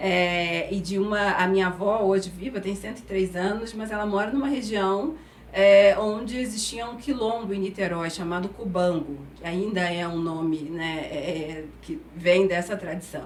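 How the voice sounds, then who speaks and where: A woman with a Carioca accent speaks with hardly any pauses amid noticeable background noise and audible room echo. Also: medium pitch for a woman, ordinary pitch variation, fairly slow pace. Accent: carioca accent with the typical hissing s. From Brazil, Rio de Janeiro. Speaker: HR executive. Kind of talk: interview. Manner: halting, with many fillers.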